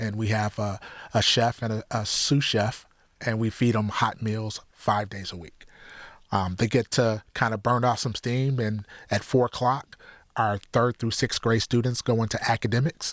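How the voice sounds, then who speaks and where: A man with an American accent has a plain, everyday voice at a medium pitch, a moderate pace and fairly even intonation. The recording is very clean and silent in the background, dry and close with no echo. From Detroit area, Michigan (Highland Park). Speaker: youth center director. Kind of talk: interview.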